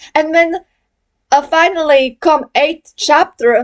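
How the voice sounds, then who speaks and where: Speaking at a fairly slow pace, a woman shows ordinary pitch variation. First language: not English. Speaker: gaming video creator. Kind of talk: video essay monologue. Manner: halting, many fillers.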